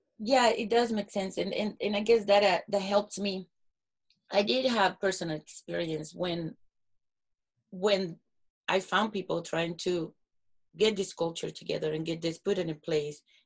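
This woman's voice has a medium pitch with ordinary variation. She keeps a moderate pace but leaves long, frequent pauses. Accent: Latin American. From South America. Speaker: podcast host. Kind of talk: interview. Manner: nervous.

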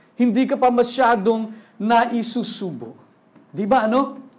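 Through audible room echo, a man with a high pitch speaks at a very slow pace. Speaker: pastor. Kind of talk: sermon. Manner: animated. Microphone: sound problems, switched to handheld mic.

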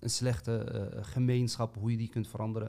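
A man's medium-pitched voice, dark and mellow in tone, somewhat breathy, at a moderate pace. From Amsterdam, Netherlands. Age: 30s. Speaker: podcast co-host. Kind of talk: casual chat.

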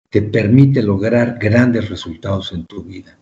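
A man talks in a dark, mellow tone at a medium pitch, somewhat breathy, with ordinary pitch variation. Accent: Mexican. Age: 30s. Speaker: cancer survivor and author. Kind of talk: interview.

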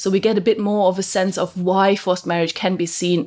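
The speaker is a woman with a non-native accent. Her intonation stays fairly even. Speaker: legal researcher. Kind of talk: academic interview.

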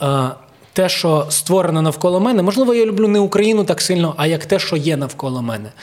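A high-pitched man at a fairly quick pace with lively intonation, amid noticeable background noise. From Ukraine. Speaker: comedian, leader of a comedy troupe. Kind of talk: casual chat.

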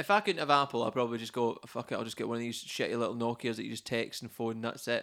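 A man talks at a very fast pace with hardly any pauses, his tone bright and sharp and his pitch medium. Intonation is fairly even, in a very clean recording with a silent background. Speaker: podcast host. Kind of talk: casual chat. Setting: in person at home.

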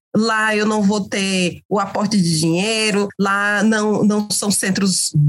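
A woman speaks very slowly at a medium pitch, her voice somewhat breathy. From Brazil, Cariri region of Ceará (Crato). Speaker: communication researcher and lecturer. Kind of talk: podcast interview. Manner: halting, repeats words.

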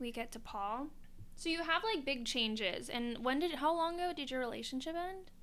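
A woman speaks in a high pitch with lively intonation. Audible room echo surrounds her voice. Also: moderate pace. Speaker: podcast host. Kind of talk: casual chat. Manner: frequent laughter.

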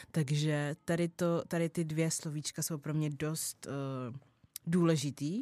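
In a very deep, low pitch, a woman talks at a fairly slow pace with a dark, mellow tone, recorded very cleanly against a silent background with a dry, close sound and no echo. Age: 20s. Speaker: podcast host. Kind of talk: casual monologue. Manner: animated.

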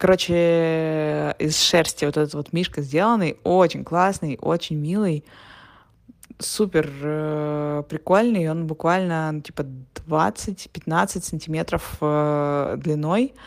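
A woman's very deep, low voice with ordinary pitch variation, at a very slow pace. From Russia. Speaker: podcaster. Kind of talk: audio diary. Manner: casual with fillers.

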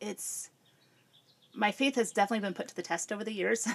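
An American accent shapes this voice. It belongs to a woman. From central Illinois, US Midwest. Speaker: churchgoing mother of three. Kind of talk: casual interview conversation.

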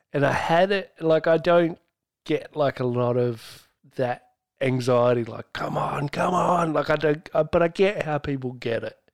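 With an Australian accent, a man speaks fairly slowly at a fairly high pitch with ordinary pitch variation. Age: 30s. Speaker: podcast host. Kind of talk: casual chat.

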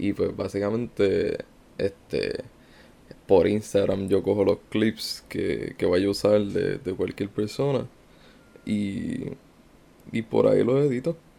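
A man speaks at a very slow pace, stopping for long, frequent pauses. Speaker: meme page creator. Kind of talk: interview. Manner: laid-back.

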